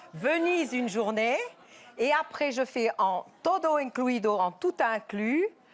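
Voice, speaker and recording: Her voice pitched high, a woman talks at a very slow pace with very wide swings in pitch. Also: very even loudness. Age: 60s. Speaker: TV talk show guest. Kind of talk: TV talk show interview. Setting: TV studio with audience.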